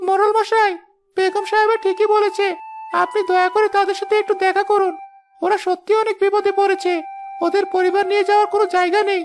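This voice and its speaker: An extremely high-pitched cartoonish character voice with flat, monotone intonation. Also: moderate pace. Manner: polite, deferential.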